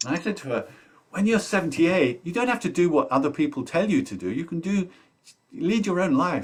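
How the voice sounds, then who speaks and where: Here a man talks at a fairly quick pace. His high-pitched voice makes very wide pitch swings. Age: 60s. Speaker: workshop facilitator. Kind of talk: webinar coaching dialogue. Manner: hesitant, many fillers and restarts.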